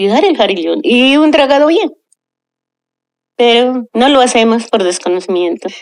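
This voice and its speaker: With a high pitch, very wide pitch swings and very even loudness, a woman talks at a fairly slow pace with long, frequent pauses. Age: 70s. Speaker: local resident. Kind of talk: interview testimony. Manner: halting, with false starts.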